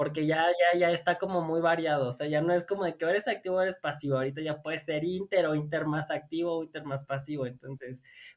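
His intonation stays fairly even as this man speaks at a fairly quick pace. He has a fairly high pitch. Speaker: podcast guest. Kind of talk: casual chat.

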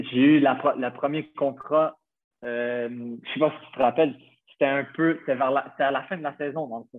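Fairly slow and fairly high-pitched, a man with an ordinary speaking voice keeps his intonation fairly even while his loudness swings widely. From Quebec, Montreal. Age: 20s. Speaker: professional footballer. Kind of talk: casual interview.

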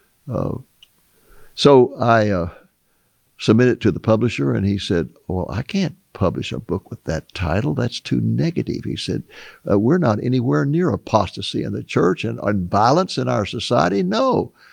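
A man speaks at a fairly low pitch with vocal fry and very wide pitch swings. The sound is dry and close with no echo. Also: moderate pace. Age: 80s+. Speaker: author and Bible prophecy teacher. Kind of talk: interview.

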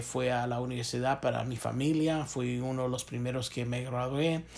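A man speaks at a medium pitch. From Chicago. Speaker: business professor. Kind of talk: interview. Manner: hesitant with many fillers.

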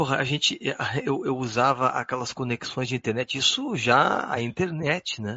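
This man speaks fairly slowly with hardly any pauses, at a medium pitch. He has a plain, everyday voice. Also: ordinary pitch variation. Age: 40s. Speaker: jazz guitarist. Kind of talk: casual chat.

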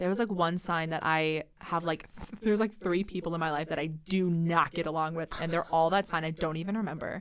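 With a Midwestern American accent, a woman talks at a fairly quick pace in a fairly low pitch, with fairly even intonation and hardly any pauses. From Central Iowa. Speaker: nanny and theater actor. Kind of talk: casual chat.

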